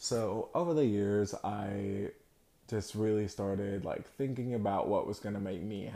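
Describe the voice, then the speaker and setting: Over a very clean recording with a silent background, a man speaks at a moderate pace with fairly even intonation. His tone is dark and mellow, with a fairly low pitch. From Tennessee (grew up in small rural town from age six). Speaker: podcaster. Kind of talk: personal storytelling monologue. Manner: casual, with frequent fillers and laughs.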